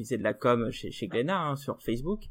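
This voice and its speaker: At a fairly quick pace, a man with an unremarkable speaking voice talks at a medium pitch. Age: 20s. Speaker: podcast host. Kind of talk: casual debate.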